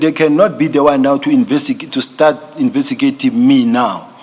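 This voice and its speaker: A man at a fairly slow pace with very wide pitch swings, amid noticeable background noise. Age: 50s. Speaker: police general testifying as witness. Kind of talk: testimony. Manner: halting, with many repetitions.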